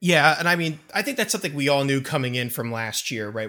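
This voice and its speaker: A man's bright, sharp tone with a Philadelphia accent. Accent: Philadelphia-area, noticeable. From near Philadelphia. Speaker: podcast co-host. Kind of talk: sports podcast discussion.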